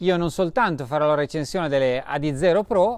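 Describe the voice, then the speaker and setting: A man speaks at a moderate pace in a dry sound with no echo, with a quiet background behind him. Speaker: running channel host. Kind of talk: casual vlog chat. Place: garden. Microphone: lapel.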